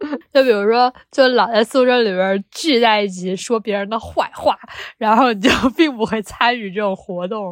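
This woman's voice sits fairly high, with an animated tone. Her pitch varies in an ordinary way, and she keeps a moderate pace. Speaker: podcast co-host, graduate student researcher. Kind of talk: casual chat.

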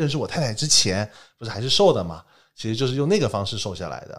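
The recording is very clean with a silent background as a man speaks at a medium pitch. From Taiwan, then mainland China from age ten. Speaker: entrepreneur. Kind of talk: casual chat. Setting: studio.

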